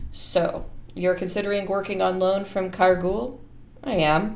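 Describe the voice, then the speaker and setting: A put-on character voice, female-sounding and raspy, at middle pitch and a moderate pace, over clear background noise. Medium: read story.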